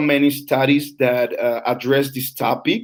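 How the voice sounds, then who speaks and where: With a Mexican accent, a man talks at a fairly slow pace. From Mexico. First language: Spanish. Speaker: English teacher trainer. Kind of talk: online lecture. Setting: live broadcast. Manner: halting, many fillers.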